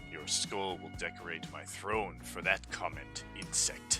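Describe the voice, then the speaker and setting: Over loud background music, a man delivers a booming, put-on character voice at a fairly slow pace. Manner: menacing, imperious.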